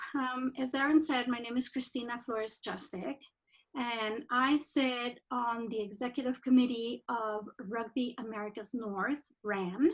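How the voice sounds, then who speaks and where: A woman speaks with a Spanish accent at a high pitch. Her pace is fairly slow, with ordinary pitch variation. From Mexico. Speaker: rugby administrator. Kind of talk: presentation. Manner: halting.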